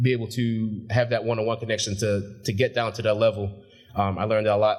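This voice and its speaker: The voice is somewhat breathy, moving at a very fast pace with fairly even intonation. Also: man. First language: not English. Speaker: graduate speaker, shipyard supervisor. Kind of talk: graduation speech. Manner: casual, with filler words.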